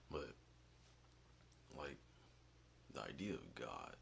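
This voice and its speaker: Quiet and very slow, a man talks with vocal fry and a bright, sharp tone, with audible room echo around him. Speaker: vlogger. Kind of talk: casual monologue. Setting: basement at home.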